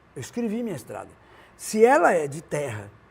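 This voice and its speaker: Talking at a fairly quick pace, a man uses lively intonation. His pitch is high. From Brazil, northern Minas Gerais (Montes Claros). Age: 70s. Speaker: singer-songwriter. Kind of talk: interview, casual chat. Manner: halting, many restarts.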